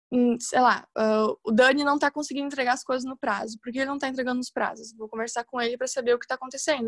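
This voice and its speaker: The speech comes very fast in a monotone, flat delivery. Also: woman, dry, close sound with no echo. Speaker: university communication student in junior agency. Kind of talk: casual chat.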